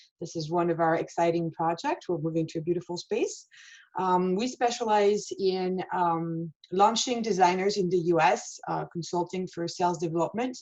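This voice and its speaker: A woman talks with a strong French accent at a medium pitch. She keeps a moderate pace. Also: ordinary pitch variation. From France. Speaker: fashion showroom owner. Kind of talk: webinar interview. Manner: hesitant, many fillers.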